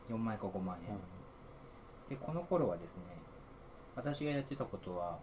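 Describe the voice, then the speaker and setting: Delivered at a moderate pace with very wide pitch swings, the speech has long, frequent pauses and noticeable background noise. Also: man, medium pitch for a man. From Niigata, Japan. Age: 40s. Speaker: software engineer. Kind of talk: casual interview. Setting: same room, offline recording.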